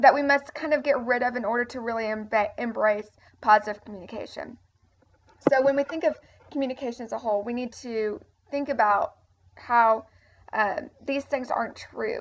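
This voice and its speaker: A woman's high voice at a moderate pace, with ordinary pitch variation and long, frequent pauses. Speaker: teacher. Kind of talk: lecture. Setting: recorded video lesson. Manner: halting.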